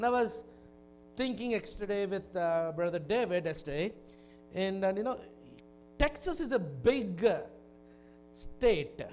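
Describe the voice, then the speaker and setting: With audible room echo, a man with a high pitch speaks at a fairly slow pace, using lively intonation and long, frequent pauses. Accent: Telugu. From India, Kakinada (Andhra Pradesh). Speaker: visiting preacher. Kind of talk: sermon. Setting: church. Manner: halting.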